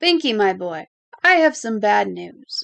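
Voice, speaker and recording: A woman's put-on character voice, fairly high in pitch and at a fairly slow pace. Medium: read story.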